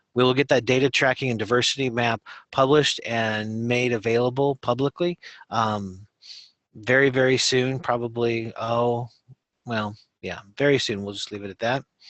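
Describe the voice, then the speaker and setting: A man with a medium-pitched voice talks at a moderate pace, his intonation fairly even. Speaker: state education program staff presenter. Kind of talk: webinar presentation. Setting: video conference. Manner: halting, many fillers.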